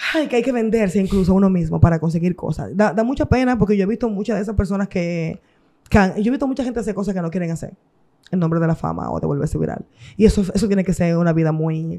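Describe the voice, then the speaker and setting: An animated woman at a medium pitch, talking very fast. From Dominican Republic, Santo Domingo (Los Mina). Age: 30s. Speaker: music artist. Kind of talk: interview.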